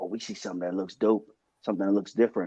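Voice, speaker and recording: This man talks at a very fast pace with a fairly low pitch. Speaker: football podcast co-host. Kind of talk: casual chat. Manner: animated.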